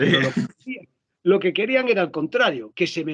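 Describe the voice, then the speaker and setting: A man talks in an animated tone at a fairly quick pace, with a slight Galician accent. His pitch swings very widely. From Galicia, rural interior. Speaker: actor and voice dubber. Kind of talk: interview conversation.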